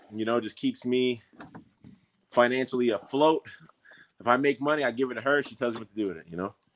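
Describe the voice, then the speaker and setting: With a New York accent, a man talks at a very fast pace broken by long, frequent pauses. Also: medium pitch for a man, ordinary pitch variation. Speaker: MMA fighter. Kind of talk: casual chat. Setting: outdoors.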